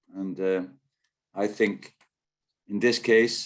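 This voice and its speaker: Speaking at a moderate pace, a man with a Dutch accent uses a fairly low voice. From Netherlands. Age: 60s. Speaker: national rowing team coach. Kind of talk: webinar talk. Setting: video call.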